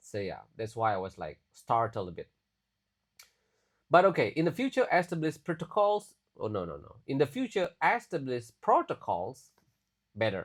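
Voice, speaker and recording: A man talks at a moderate pace with big swings in loudness and long, frequent pauses, on a very clean recording with a silent background. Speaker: English teacher. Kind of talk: tutorial. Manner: casual, with many fillers.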